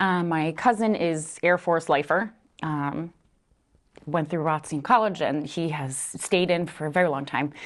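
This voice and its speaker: Against a quiet background, a woman with an eastern Pennsylvania accent speaks at a fairly slow pace. Her pitch is fairly low, with ordinary variation. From Philadelphia, eastern Pennsylvania. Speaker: family support specialist. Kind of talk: interview.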